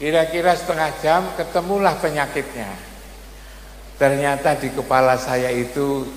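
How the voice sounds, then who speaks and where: A man with a fairly high pitch talks at a fairly slow pace with ordinary pitch variation, and the recording carries audible room echo and noticeable background noise. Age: 70s. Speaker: Islamic preacher and professor. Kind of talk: religious sermon. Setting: religious gathering at a boarding school.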